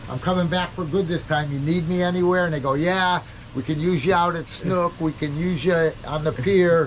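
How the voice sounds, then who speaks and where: With noticeable background noise behind him, a man with a high pitch speaks with an American accent and fairly even intonation. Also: moderate pace. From New England (Cape Cod, Massachusetts). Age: 70s. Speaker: bait shop worker. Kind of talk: interview.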